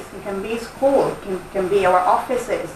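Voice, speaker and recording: With a strong Italian accent and lively intonation, a woman speaks at a moderate pace amid noticeable background noise and audible room echo. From Italy. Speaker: workshop trainer. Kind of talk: workshop presentation.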